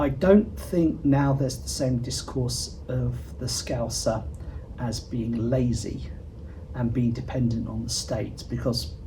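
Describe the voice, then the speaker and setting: Speaking at a fairly slow pace in a southern English accent, a man is heard with audible room echo and noticeable background noise. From southern England. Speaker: interviewee commentator. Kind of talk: interview.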